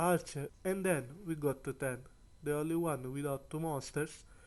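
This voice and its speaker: Fairly slow speech from a man with a non-native accent, fairly high pitch and fairly even intonation. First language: not English. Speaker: anime YouTuber. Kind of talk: video review commentary.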